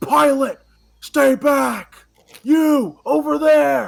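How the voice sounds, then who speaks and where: A put-on character voice from a man, extremely high in pitch and very slow. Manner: stern, commanding.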